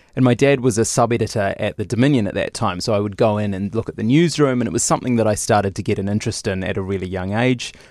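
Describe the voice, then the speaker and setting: Rushing along at a very fast pace with hardly any pauses, a man with a New Zealand accent speaks at a fairly low pitch with ordinary pitch variation, recorded very cleanly against a silent background. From New Zealand, Lower Hutt. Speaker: television reporter. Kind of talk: interview. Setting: studio.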